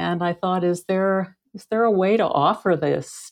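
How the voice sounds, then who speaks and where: Against a quiet background, a woman with an ordinary speaking voice and fairly low pitch talks at a fairly slow pace. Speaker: author. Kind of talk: casual chat.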